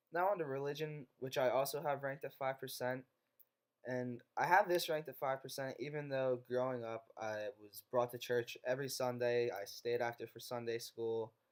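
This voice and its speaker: Speaking at a moderate pace with ordinary pitch variation, a man's voice swings widely in loudness. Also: medium pitch for a man. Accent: American. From northeastern Pennsylvania, US. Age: 20s. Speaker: college student. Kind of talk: class presentation narration.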